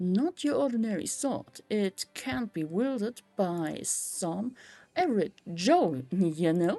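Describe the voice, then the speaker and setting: Using a put-on character voice, the speaker drawls at a fairly slow pace with very wide pitch swings, recorded in a dry, close sound with no echo. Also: woman, medium pitch for a woman. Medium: game stream. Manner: slangy, drawling.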